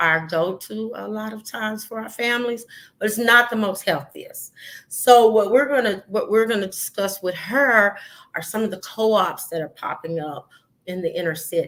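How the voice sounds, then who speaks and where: A woman's fairly high voice with a slight Southern US accent, moderate pace, ordinary pitch variation and big swings in loudness. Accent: slight rural Southern. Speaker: podcast host. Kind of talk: solo podcast talk. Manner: hesitant, many fillers.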